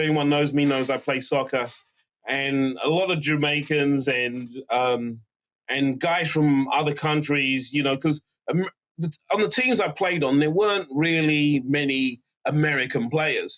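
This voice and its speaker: A man with an English accent, fairly high pitch, very even loudness and a fairly slow pace. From England. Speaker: HVAC business owner. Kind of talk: interview.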